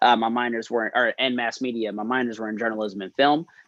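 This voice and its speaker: The speech comes at a very fast pace in a North Carolina accent. Its intonation is monotone and flat. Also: man. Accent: Southern US (North Carolina). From North Carolina, Winston-Salem. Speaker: fraternity expansion consultant, guest speaker. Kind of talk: presentation to student senate. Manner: casual, many fillers.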